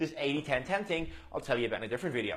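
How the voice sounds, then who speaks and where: This man's pitch is fairly high, and his intonation is lively. He talks at a very fast pace. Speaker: fitness coach. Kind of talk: tutorial.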